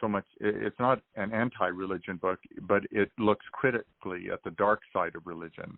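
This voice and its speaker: Barely pausing, a man talks at a moderate pace with fairly even intonation. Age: 60s. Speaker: author and psychologist. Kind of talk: interview. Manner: halting.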